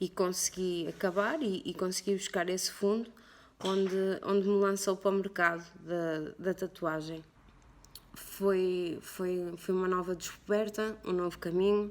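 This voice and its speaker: The woman's medium-pitched voice keeps fairly even intonation at a fairly slow pace. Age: 30s. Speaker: tattoo artist. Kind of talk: personal interview testimony. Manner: halting, many fillers.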